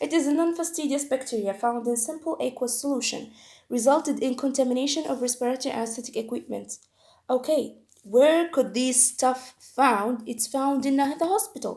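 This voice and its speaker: A woman with a non-native accent speaks at a high pitch and a moderate pace, with ordinary pitch variation. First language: not English. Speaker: medical educator. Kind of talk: tutorial. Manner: halting.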